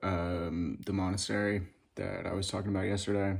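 Over a quiet background, a man with a fairly low pitch talks at a moderate pace. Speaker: vlogger. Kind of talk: casual vlog chat. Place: home room. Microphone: phone near.

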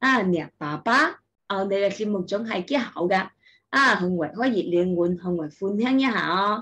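A woman speaks in a Taishanese accent with a bright, sharp tone. Her intonation is lively. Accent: Taicheng Taishanese. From Taishan, Guangdong, China. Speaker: kindergarten teacher. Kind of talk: casual talk to camera, language-learning content. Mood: warm, friendly. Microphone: webcam.

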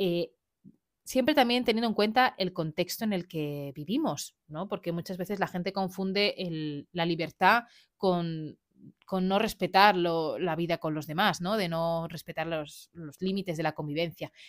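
Recorded very cleanly against a silent background with a dry, close sound and no echo, a woman speaks fairly slowly at a fairly low pitch with ordinary pitch variation in an unremarkable speaking voice. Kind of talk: solo podcast monologue. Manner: casual, with frequent fillers and laughs.

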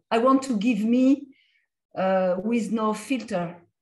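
Speaking at a medium pitch in a French accent, the woman sounds somewhat breathy. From France. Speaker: comics artist and lecturer; comics artist, lecturer. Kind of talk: lecture with Q&A. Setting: video call. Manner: halting, hesitant. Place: home room. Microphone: video call.

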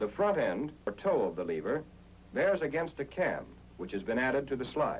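This man has an American accent. He talks at a moderate pace. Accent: 1940s American newsreel-style narrator. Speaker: training film narrator. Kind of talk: 1940s military training film narration. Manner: formal, authoritative and measured; clear, steady and instructional, with brisk, even pacing.

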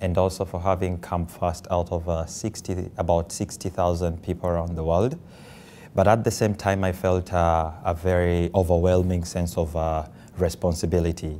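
Man with a Ugandan accent, very deep and low in pitch, dark and mellow, at a moderate pace with monotone, flat intonation. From Kampala, Uganda. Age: 20s. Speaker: social entrepreneur. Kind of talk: interview answer.

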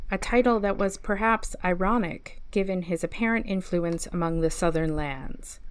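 A woman with a normal speaking voice talks at a moderate pace and medium pitch, with hardly any pauses. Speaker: library storyteller reading aloud. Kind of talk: mock documentary narration, deadpan scholarly reading of a fiction story. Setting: online video series.

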